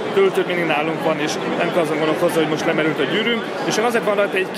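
Very fast speech comes through over loud background noise. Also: man. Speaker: tech reviewer. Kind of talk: product demo commentary. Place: hall.

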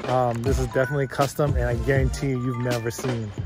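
A man talks at a very fast pace. The sound is dry with no echo, and music plays clearly in the background. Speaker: vehicle vlogger. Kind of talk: casual vlog chat. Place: street. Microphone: phone near.

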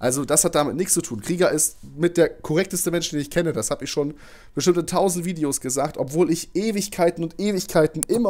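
A man talks at a very fast pace. His pitch is high, with ordinary pitch variation. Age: 20s. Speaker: gaming YouTuber. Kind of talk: farewell rant to viewers. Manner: agitated.

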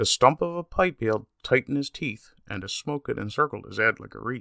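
Recorded very cleanly against a silent background with a dry, close sound and no echo, a man with a Newfoundland accent talks at a fairly quick pace with big swings in loudness. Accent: Newfoundland English, lightly emphasized. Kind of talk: poetry reading.

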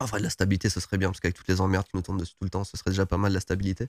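The recording is close and dry, without any echo. The speaker is a man. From France, various regions (Lorraine, Oise, Creuse). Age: 40s. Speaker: YouTuber and entrepreneur. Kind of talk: interview. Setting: guest's premises in Tokyo. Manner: hesitant, many repetitions.

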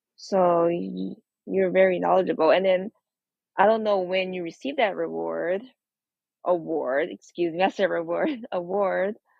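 A woman with an American accent at a moderate pace, with long, frequent pauses. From New York. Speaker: guest. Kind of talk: casual chat.

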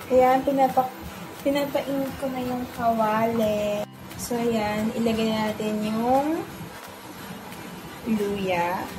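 A woman at a very slow pace, with long, frequent pauses and ordinary pitch variation, over music in the background. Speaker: home cook vlogger. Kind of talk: casual cooking vlog chat. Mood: relaxed, self-deprecating. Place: kitchen. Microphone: phone near.

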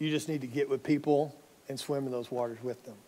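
Fairly quick speech from a man with an American accent. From North Texas. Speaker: pastor. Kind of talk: sermon. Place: church. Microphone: headset.

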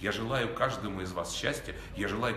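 Speech comes at a moderate pace. Audible room echo and light background noise are present. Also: man. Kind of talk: congratulatory address. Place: hall.

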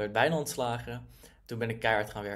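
A man talks at a moderate pace with ordinary pitch variation and vocal fry. The background is quiet. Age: 20s. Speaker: online entrepreneur. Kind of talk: personal story monologue. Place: home room. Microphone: webcam.

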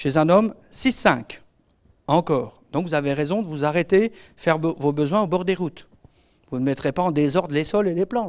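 Against a quiet background, a man with a fairly high pitch speaks at a moderate pace with ordinary pitch variation and long, frequent pauses. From France, Normandy and Alsace; France. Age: 50s. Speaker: veterinary and agronomy consultant; speaker. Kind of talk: lecture. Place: hall. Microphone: handheld.

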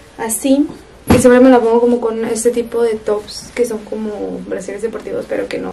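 A woman speaks fairly quickly in a monotone, flat delivery, with clear music in the background. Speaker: lifestyle vlogger. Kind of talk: casual vlog chat. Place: bathroom. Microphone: phone near.

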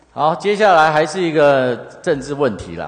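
Against noticeable background noise, a man with a Taiwanese accent speaks in very wide pitch swings. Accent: Taiwanese Mandarin. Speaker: city councillor. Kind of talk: council interpellation. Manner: sarcastic.

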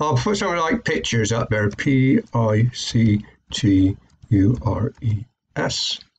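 Over light background noise, a man speaks at a very slow pace with lively intonation. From UK. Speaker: online marketing YouTuber; online marketing tutor. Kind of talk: tutorial. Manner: hesitant, many fillers. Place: home room. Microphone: webcam.

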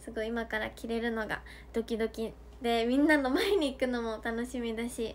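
Cheerful in tone, a woman speaks at a moderate pace with fairly even intonation. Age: 20s. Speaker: idol livestreamer. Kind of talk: fan livestream chat. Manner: cheerful, frequent laughter. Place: home room. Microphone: phone near.

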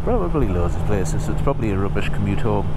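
Loud noise runs through the background. The voice belongs to a man. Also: dry sound with no echo. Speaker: motovlogger. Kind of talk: casual vlog chat. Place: motorbike. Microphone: helmet.

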